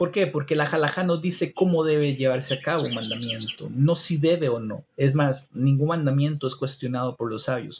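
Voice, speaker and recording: A man with a Costa Rican accent and a fairly high pitch speaks somewhat breathily at a moderate pace, with ordinary pitch variation and hardly any pauses. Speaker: livestreamer teaching about Judaism. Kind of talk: live stream talk with viewer comments. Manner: halting, many fillers.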